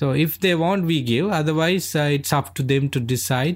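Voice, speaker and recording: A man's fairly high voice with lively intonation and a Sri Lankan accent, in a very clean recording with a silent background. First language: Sinhalese. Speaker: Buddhist monk. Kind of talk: interview, explanatory conversation. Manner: halting, many fillers.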